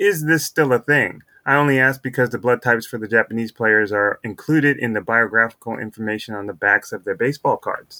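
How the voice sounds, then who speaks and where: A man with an American accent talks at a fairly quick pace with hardly any pauses, at a medium pitch with ordinary pitch variation. His tone is bright and sharp, and the sound is dry and close with no echo. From United States. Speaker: baseball podcast host. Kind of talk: casual chat.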